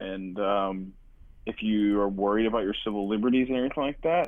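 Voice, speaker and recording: Here a man talks at a moderate pace with fairly even intonation and a fairly low pitch. He has an ordinary speaking voice. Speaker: guest on call. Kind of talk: casual chat. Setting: group call.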